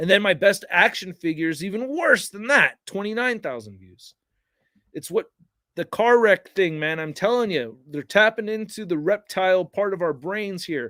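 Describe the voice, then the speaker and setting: A man with an American accent projects a raised, energetic, high-pitched voice with a bright, sharp tone and big swings in loudness, heard in a dry, close sound with no echo. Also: moderate pace. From Northern California suburbs. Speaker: toy reviewer YouTuber. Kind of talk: livestream chat.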